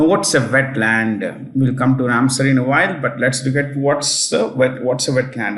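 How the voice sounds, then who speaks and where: Audible room echo surrounds a man whose fairly high-pitched voice shows ordinary pitch variation. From South India, Telangana. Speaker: exam prep teacher. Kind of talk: lecture. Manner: hesitant, many fillers.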